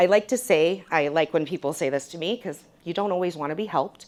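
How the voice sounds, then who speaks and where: Loud and animated, a woman with a fairly low pitch talks at a fairly quick pace. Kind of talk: conference presentation. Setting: stage with audience.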